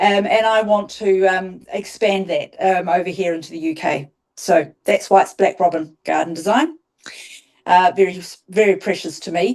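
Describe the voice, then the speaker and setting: A woman with a New Zealand accent at a medium pitch, moderate pace and fairly even intonation. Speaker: garden designer. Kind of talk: interview. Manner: hesitant, many ums.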